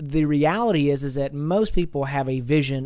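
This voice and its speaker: A man speaks with a fairly high pitch and lively intonation. His tone is dark and mellow. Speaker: podcast host. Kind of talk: interview.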